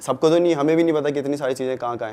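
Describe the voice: A man with a medium pitch and a slightly mellow tone talks at a very fast pace with ordinary pitch variation.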